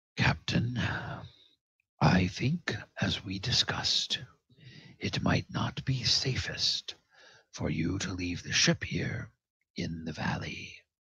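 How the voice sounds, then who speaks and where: In a put-on character voice, the delivery is fairly slow, with long, frequent pauses. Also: man, fairly low pitch for a man. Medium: actual play. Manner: formal, courteous.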